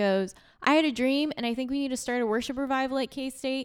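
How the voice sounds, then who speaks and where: This is a plain, everyday voice at a moderate pace with ordinary pitch variation. The recording is very clean, with a silent background. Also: woman. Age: 20s. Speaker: podcast host, campus ministry worker. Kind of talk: casual chat.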